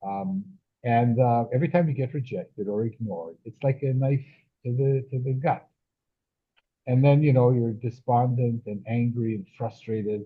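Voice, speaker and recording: Somewhat breathy, a man at medium pitch talks at a moderate pace with ordinary pitch variation. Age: 70s. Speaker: children's author and scientist. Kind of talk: casual interview chat. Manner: halting, many fillers and repetitions.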